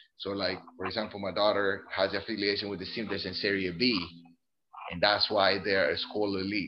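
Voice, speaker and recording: This man's intonation is monotone and flat, his pitch fairly low. He talks at a moderate pace. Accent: Spanish. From Colombia. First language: Spanish. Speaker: Air Force service member and soccer parent. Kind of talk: casual interview.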